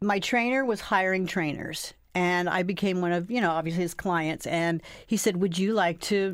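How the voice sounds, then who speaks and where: A woman with a normal speaking voice talks at a moderate pace in a medium pitch with fairly even intonation and very even loudness. The recording is very clean, with a silent background. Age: 60s. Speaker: personal trainer. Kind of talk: interview.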